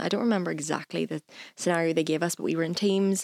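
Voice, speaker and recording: Talking at a very fast pace, a woman with a fairly low voice shows ordinary pitch variation in a very clean, dry, close recording with no echo and a silent background. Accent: Northern Irish. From Northern Ireland, Lisburn. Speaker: university student. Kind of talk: casual chat.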